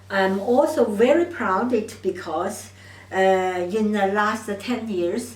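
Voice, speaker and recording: Over noticeable background noise and audible room echo, a woman at medium pitch speaks very slowly in a Chinese accent. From China. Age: 70s. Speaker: doctor of Chinese medicine. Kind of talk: monologue to camera. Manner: halting.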